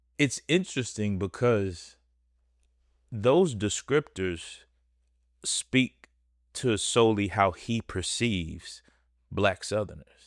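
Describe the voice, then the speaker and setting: A man with a fairly low pitch talks at a very slow pace with lively intonation and long, frequent pauses. The recording is very clean with a silent background, and the sound is dry and close with no echo. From Texas, Dallas. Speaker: podcast host. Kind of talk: casual podcast commentary.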